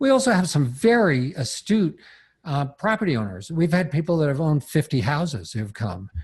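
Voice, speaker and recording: Against a quiet background, a man talks at a fairly quick pace in a somewhat breathy voice whose pitch swings very widely. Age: 60s. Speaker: seminar teacher on property leasing. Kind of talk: podcast interview.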